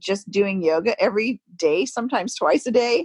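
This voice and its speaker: This woman has an unremarkable speaking voice, fairly high in pitch. Her intonation is lively. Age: 50s. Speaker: yoga teacher. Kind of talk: casual chat.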